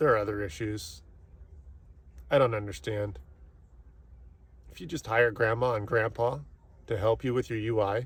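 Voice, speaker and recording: A somewhat breathy man speaks with ordinary pitch variation. He leaves long, frequent pauses. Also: medium pitch for a man, moderate pace. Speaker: IT technician. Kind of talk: rant.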